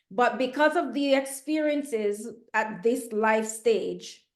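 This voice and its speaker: Audible room echo around a woman speaking at a fairly slow pace. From Jamaica. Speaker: podcast host. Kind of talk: interview.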